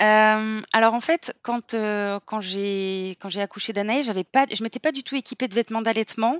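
A woman speaks at a moderate pace with hardly any pauses, her fairly high voice moving with ordinary pitch variation over a quiet background in a dry, close sound with no echo. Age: 30s. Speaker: clothing brand founder. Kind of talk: testimony. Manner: halting.

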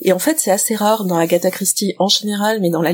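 This woman has an unremarkable speaking voice. Her pitch sits in the medium range, with ordinary variation. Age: 50s. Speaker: librarian, podcast guest. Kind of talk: casual chat.

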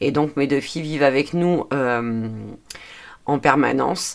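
Her voice is very deep and low for a woman, and she speaks at a fairly slow pace. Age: 40s. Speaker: podcaster and budgeting/personal development YouTuber. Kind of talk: solo podcast monologue. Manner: hesitant, many fillers.

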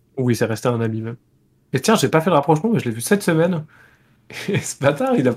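Somewhat breathy and at a fairly high pitch, a man talks at a very fast pace with very wide pitch swings and long, frequent pauses. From France, Poitiers. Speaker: board game designer. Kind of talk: casual chat.

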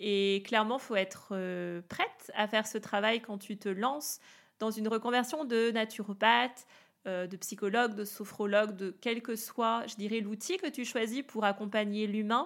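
At a fairly slow pace, a woman speaks with a fairly high pitch in a very clean recording with a silent background. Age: 30s. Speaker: wellness coach. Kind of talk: podcast monologue. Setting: home office. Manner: enthusiastic.

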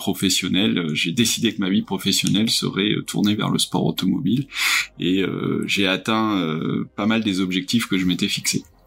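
A man with a fairly low pitch talks at a fairly slow pace, with ordinary pitch variation and very even loudness. Noticeable background noise sits behind him. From Burgundy, France. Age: 50s. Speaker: motorsport executive. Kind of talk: interview. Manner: hesitant, many fillers.

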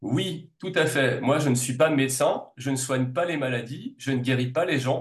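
A man at a medium pitch speaks at a fairly slow pace, somewhat breathy, with fairly even intonation. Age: 40s. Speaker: naturopath and reflexologist. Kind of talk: casual interview.

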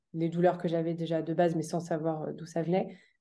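A woman speaks with a dark, mellow tone at a fairly low pitch. The background is quiet. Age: 20s. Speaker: endometriosis awareness advocate, association co-founder. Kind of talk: interview. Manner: halting, many fillers.

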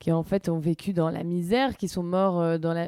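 A woman's fairly low-pitched voice with a dark, mellow tone, dry and close with no echo, on a very clean recording with a silent background. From Paris. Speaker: author, screenwriter and actress. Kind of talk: casual chat.

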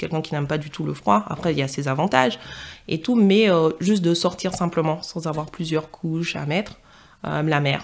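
Her voice sits very deep and low, and she keeps to a fairly slow pace. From Martinique, then Paris region from age 12. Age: 20s. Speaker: podcast guest. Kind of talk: interview. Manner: hesitant, many fillers.

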